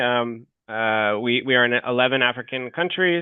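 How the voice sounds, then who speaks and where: This man talks at a medium pitch with an American accent. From United States. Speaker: fintech company representative. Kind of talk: webinar Q&A. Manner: hesitant, many fillers.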